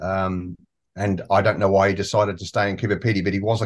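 A man with an Australian accent talks at a very fast pace in a fairly low voice. His intonation stays fairly even, and the background is quiet. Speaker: small-town resident. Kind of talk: interview. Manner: halting.

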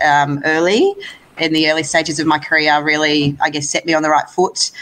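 A woman with an Australian accent speaks at a moderate pace. Her pitch is very deep and low. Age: 30s. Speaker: lawn bowls player. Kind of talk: interview.

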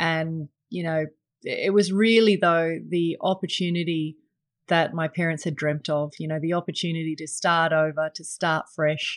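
A woman with an Australian accent speaks at a moderate pace against a quiet background. Her fairly low voice keeps a fairly even intonation. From England until age nine, then Australia. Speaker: investment advisor and podcast host. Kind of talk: solo podcast monologue. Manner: many fillers and repetitions.

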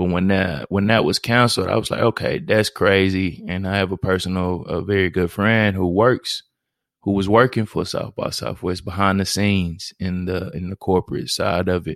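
A man's very deep, low voice with fairly even intonation on a very clean recording with a silent background. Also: dry, close sound with no echo. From Houston, Texas (Fifth Ward). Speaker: podcast host. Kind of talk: solo introductory podcast monologue. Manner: monotone, laid-back.

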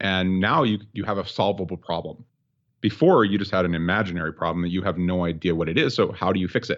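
Speaking at a very fast pace, the man has a very deep, low pitch and fairly even intonation. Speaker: mindset coach. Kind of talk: casual interview chat.

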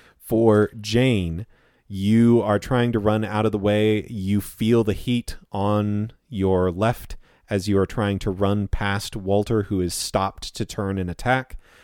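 Speaking at a very slow pace, a man delivers his words in a fairly low pitch with monotone, flat intonation. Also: very clean recording, silent background. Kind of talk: tabletop RPG narration, dramatic scene-setting to players. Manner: vivid, suspenseful, present-tense description addressed to players.

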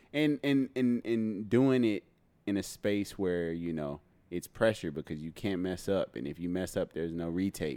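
A man's very deep, low voice, dark and mellow in tone, with lively intonation at a moderate pace over a very clean recording with a silent background. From Texas (Houston, Dallas). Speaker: actor and photographer. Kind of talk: casual chat. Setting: at home.

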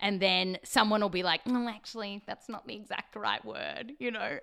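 Speaking with an Australian accent, a woman keeps a moderate pace. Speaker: science podcast host. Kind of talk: casual interview. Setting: remote recorded call.

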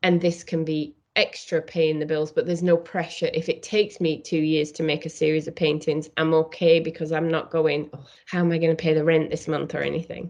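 Speaking fairly quickly with a British accent, a woman uses a very deep, low pitch and a monotone, flat intonation. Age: 50s. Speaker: painter and art teacher. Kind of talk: interview.

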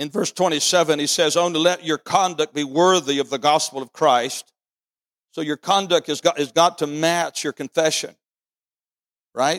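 This man's pitch is fairly high and his tone animated, at a moderate pace. The recording is very clean with a silent background and a dry, close sound with no echo. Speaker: pastor. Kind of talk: sermon. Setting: church. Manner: animated, emphatic preacher; repeats phrases for emphasis, seeks congregation's 'Amen'.

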